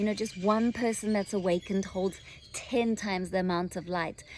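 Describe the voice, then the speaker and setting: A woman with a South African accent at a moderate pace. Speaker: spiritual channeler. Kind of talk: channeled spiritual guidance talk. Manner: hesitant, many fillers; gentle, soothing.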